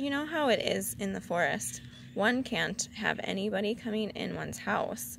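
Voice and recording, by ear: Someone is reading aloud in a natural voice. The delivery sounds like plain reading.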